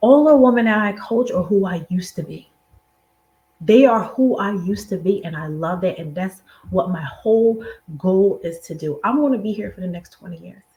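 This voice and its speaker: In an American accent, a woman with a medium pitch speaks at a moderate pace, her intonation lively and her loudness swinging widely. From Philadelphia, US. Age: 40s. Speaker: money mindset coach. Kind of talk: motivational talk.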